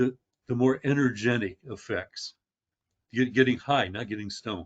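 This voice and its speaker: A man at medium pitch, moderate pace and ordinary pitch variation. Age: 60s. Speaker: experienced cannabis grower. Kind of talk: podcast interview. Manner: halting, many fillers and restarts.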